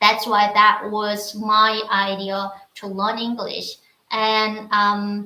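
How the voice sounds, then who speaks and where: With a Korean accent, a woman speaks at a very slow pace in a medium pitch, her bright, sharp tone showing big swings in loudness. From North Korea, Wonsan. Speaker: North Korean defector. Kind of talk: casual chat. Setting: livestream. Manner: halting.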